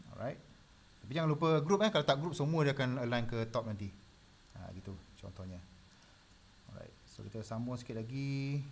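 The speaker talks fairly quickly with lively intonation and a somewhat breathy sound, leaving long, frequent pauses. Loudness swings widely, over light background noise. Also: man. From Malaysia. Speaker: design tutor. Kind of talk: live tutorial. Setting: live stream. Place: home room.

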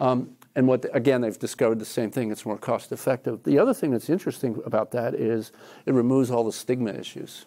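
A man with an American accent speaks very fast at a medium pitch, in a dark, mellow tone with vocal fry and fairly even intonation. The background is quiet. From New Jersey. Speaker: professor. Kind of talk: lecture; audience Q&A. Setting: lecture hall with audience. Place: classroom. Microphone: lapel.

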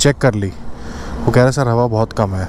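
The speaker is a man. The sound is dry with no echo, over light background noise. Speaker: solo motovlogger. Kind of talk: casual vlog chat. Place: motorbike. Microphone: helmet.

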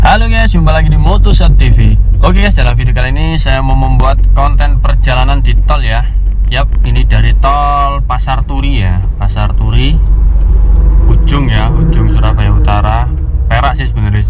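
Over background music, a man with a very deep, low pitch speaks in a monotone, flat way at a moderate pace, his loudness very even and the sound dry with no echo. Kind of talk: casual tutorial commentary while driving. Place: car. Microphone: phone near.

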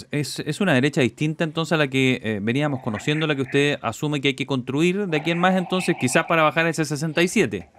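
A man with a normal speaking voice, fairly high in pitch, at a fairly quick pace with hardly any pauses, ordinary pitch variation, and light background noise. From Chile. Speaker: radio host. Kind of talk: radio interview. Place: studio. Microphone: studio mic.

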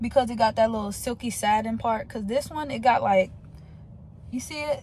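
The voice is somewhat breathy and moves at a moderate pace, the sound dry with no echo and light background noise. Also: woman. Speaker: vlogger. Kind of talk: casual vlog chat. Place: car. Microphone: phone near.

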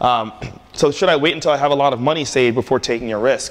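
With an American accent, a man talks at a medium pitch with ordinary pitch variation. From Prince George's County, Maryland; Maryland. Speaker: tech entrepreneur and speaker; speaker. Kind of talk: conference talk with Q&A. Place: hall.

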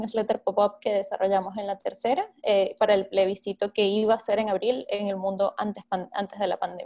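Speaking with a Venezuelan accent, a woman talks at a fairly quick pace with hardly any pauses and fairly even intonation. The background is quiet. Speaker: journalist and newsletter editor. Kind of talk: workshop talk. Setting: video call. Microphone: video call.

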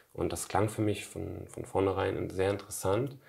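At a moderate pace, a man talks in a fairly low, somewhat breathy voice over a quiet background. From western Germany, Emmerich on the Rhine (Lower Rhine); western Germany. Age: 20s. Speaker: spiritual author; interview guest. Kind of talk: interview conversation. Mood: calm, reflective. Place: home room. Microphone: lapel.

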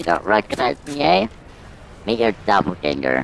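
A man uses a put-on character voice with a very deep, low pitch. Clear background noise is present. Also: moderate pace.

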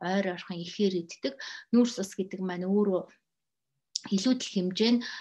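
Against a quiet background, a woman with a somewhat breathy voice speaks at a moderate pace with ordinary pitch variation. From Mongolia. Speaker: health educator. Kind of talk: lecture. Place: home room. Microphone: webcam.

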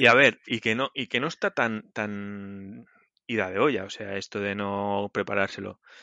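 This man has an ordinary speaking voice with a fairly low pitch. He speaks at a fairly slow pace with fairly even intonation. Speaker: podcast co-host, programmer. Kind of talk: casual chat.

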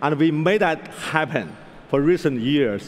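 Lively intonation from a man. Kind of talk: keynote talk. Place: stage. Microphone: headset.

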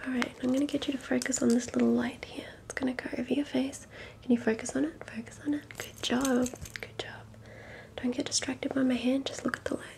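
A soft-spoken voice moves at a fairly quick pace over noticeable background noise. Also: woman. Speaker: ASMR creator. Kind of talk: soft role-play instructions. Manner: soft, hushed ASMR voice. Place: home room. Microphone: studio mic.

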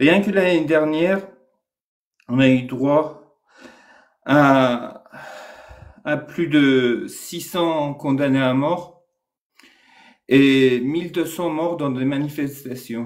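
At a very slow pace, a man speaks with a fairly high pitch and fairly even intonation. Long pauses come often. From Iran. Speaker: Iranian activist. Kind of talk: casual live discussion.

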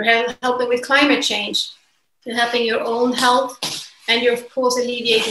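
Through noticeable background noise, a woman with a Swedish accent speaks at a high pitch in a monotone, flat intonation. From Sweden. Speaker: fashion entrepreneur; interview guest. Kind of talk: interview. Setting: remote call. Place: home room. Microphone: video call.

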